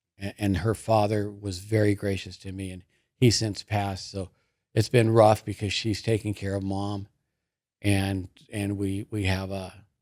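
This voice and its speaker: A man with a Southern Californian accent, a fairly low pitch, monotone, flat intonation, a moderate pace and big swings in loudness, on a very clean recording with a silent background. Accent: Southern California American. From US West Coast, Lakewood, California. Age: 60s. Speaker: business owner in recovery. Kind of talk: personal testimony in interview. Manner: casual, with frequent fillers and repetitions.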